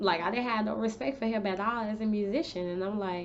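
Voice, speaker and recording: Woman's fairly high voice at a moderate pace, with audible room echo and noticeable background noise. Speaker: beauty and lifestyle vlogger. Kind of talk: casual storytime vlog.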